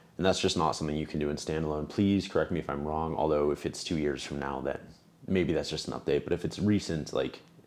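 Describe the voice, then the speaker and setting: His pitch is very deep and low, and the intonation fairly even. The man speaks at a very fast pace. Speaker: music gear reviewer. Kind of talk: casual product review.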